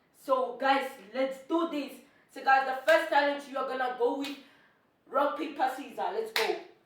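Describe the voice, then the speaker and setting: A woman with a high pitch talks at a moderate pace, taking long, frequent pauses. Her tone is animated, with big swings in loudness and audible room echo. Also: ordinary pitch variation. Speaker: vlogger. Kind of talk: casual vlog challenge.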